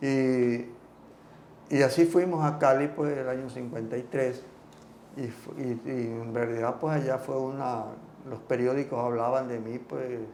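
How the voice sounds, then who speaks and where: Noticeable background noise behind a man of medium pitch, at a fairly slow pace with long, frequent pauses. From Ecuador. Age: 80s+. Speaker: former tennis player and coach. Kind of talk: interview answer.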